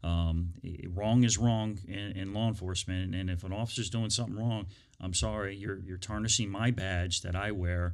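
With an American accent, a man talks at a moderate pace in a fairly low pitch and fairly even intonation, using an unremarkable speaking voice. The recording is very clean, with a silent background. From Northern Virginia, US. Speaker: police chief. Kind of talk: interview. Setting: studio.

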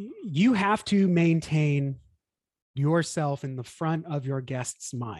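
Speaking in an American accent, a man with a fairly high pitch and a somewhat breathy voice talks at a very slow pace with lively intonation. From Texas, Houston. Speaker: church marketing consultant. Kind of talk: casual interview chat.

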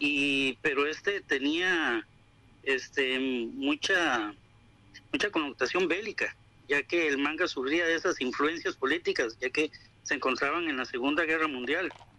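Fairly slow, very even in loudness, a man's unremarkable speaking voice at fairly high pitch with ordinary pitch variation. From Costa Rica. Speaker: manga and anime enthusiast. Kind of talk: informative talk.

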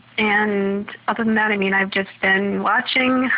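The voice shows ordinary pitch variation against noticeable background noise. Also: woman. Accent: American. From US Midwest, Minnesota. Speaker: PhD student and researcher. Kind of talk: recorded voice update. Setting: at home.

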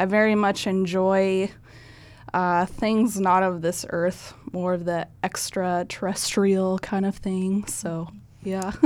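A woman with a Midwestern US accent talks at a very slow pace. Her medium-pitched voice stays monotone and flat. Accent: US Midwest. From Nebraska, US Midwest. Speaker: painter. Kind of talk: casual interview.

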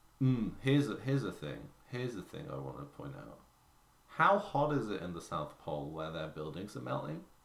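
Very deep and low in pitch, this man's voice has vocal fry, very wide pitch swings and big swings in loudness at a fairly quick pace. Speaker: podcast host. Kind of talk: casual chat. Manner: joking, animated.

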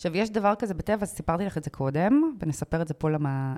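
Her dark, mellow tone sits fairly low for a woman, and her pitch swings very widely. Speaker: podcast co-host, author. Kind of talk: casual chat.

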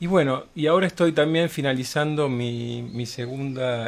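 Speech comes from a man at a fairly slow pace. The pitch variation is ordinary. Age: 50s. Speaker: patient giving testimony. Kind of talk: testimony. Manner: hesitant with fillers.

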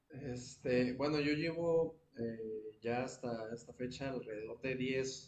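Against noticeable background noise, a man speaks very slowly. His pitch varies in an ordinary way. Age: 20s. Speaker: jazz saxophonist. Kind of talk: interview. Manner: halting.

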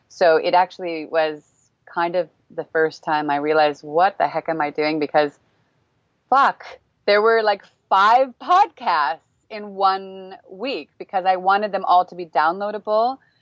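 A woman with an American accent and an unremarkable speaking voice talks at a medium pitch with ordinary pitch variation and big swings in loudness. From United States. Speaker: parenting coach and podcaster. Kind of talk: casual chat. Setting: video call.

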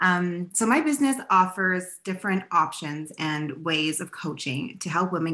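Her tone is bright and sharp, and this woman speaks at a fairly low pitch with lively intonation. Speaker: business coach and author. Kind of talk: casual interview chat.

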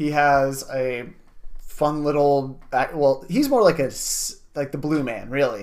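With a normal speaking voice and an American accent, a man talks at a fairly slow pace in a fairly high pitch. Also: fairly even intonation. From US. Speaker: beer podcast co-host and editor. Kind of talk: casual chat.

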